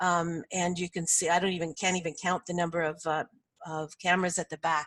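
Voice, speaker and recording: Fairly low-pitched, a woman with a Canadian accent speaks at a fairly quick pace in a monotone, flat way, the sound dry and close with no echo. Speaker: sport communications consultant. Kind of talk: webinar presentation. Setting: online webinar. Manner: fast.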